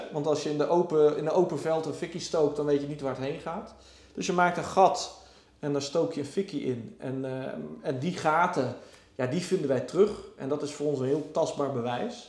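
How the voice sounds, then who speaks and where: Audible room echo surrounds a man who talks at a moderate pace with a fairly high pitch and ordinary pitch variation. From Netherlands, Gelderland river area (Varik). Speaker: archaeologist. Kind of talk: casual interview. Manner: hesitant, many fillers.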